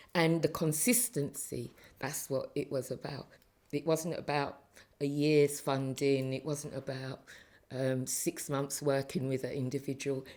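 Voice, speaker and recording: A woman with a London accent, her pitch very deep and low, at a fairly slow pace and with fairly even intonation. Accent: London English with Caribbean heritage. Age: 60s. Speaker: retired council community safety officer. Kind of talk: interview.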